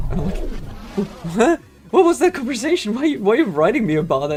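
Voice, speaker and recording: Music plays behind a man speaking with a German accent. His pitch swings very widely. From Germany. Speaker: video game streamer. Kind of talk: casual chat while livestreaming gameplay. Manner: animated.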